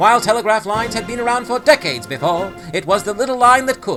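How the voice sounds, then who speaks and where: Against music in the background, a man with a high voice talks at a fairly quick pace with ordinary pitch variation. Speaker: retro newsreel-style history narrator. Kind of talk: retro newsreel narration with humor. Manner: punchy, wry, punning delivery.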